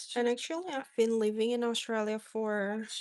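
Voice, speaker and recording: Her voice is fairly high, with an American accent. The woman speaks at a fairly slow pace. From Indonesia. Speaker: craft livestreamer. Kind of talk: casual live chat. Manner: hesitant, many fillers.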